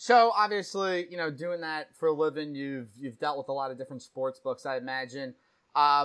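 A man with a New Jersey accent at a moderate pace, with very wide pitch swings. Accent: New Jersey American. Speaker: podcast host. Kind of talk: casual interview.

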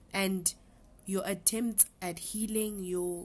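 A woman speaks at a medium pitch in a flat, monotone way. Her voice is somewhat breathy. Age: 20s. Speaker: podcast guest. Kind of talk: casual chat.

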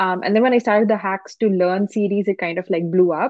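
At a fairly quick pace, a woman in a plain, everyday voice speaks with medium pitch and fairly even intonation. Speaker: Instagram content creator. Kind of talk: casual podcast interview.

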